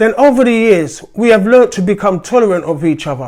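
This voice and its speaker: Here a man speaks at a high pitch with ordinary pitch variation. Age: 60s. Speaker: political commentator. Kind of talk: opinion monologue.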